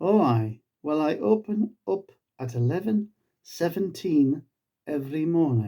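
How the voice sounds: Putting on a character voice, a man speaks fairly high for his sex in a dark, mellow tone, with big pitch swings and a fairly slow pace.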